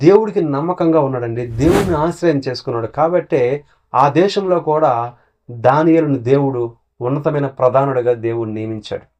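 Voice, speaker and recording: A man's voice, an ordinary speaking voice, sits fairly high in pitch and rises and falls in an ordinary way. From Srikakulam district, Andhra Pradesh, India. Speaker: pastor. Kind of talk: sermon; testimony.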